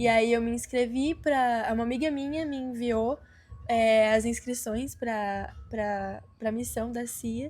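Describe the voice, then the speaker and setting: A woman speaks very slowly with a fairly high pitch and fairly even intonation. Audible room echo surrounds her voice. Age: 20s. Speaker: missionary performing artist. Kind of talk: testimony. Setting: group interview.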